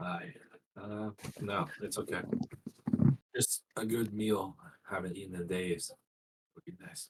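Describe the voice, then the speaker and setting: A put-on character voice from a man, raspy and fairly low-pitched, at a fairly slow pace with long, frequent pauses. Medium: actual play. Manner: calm, resigned.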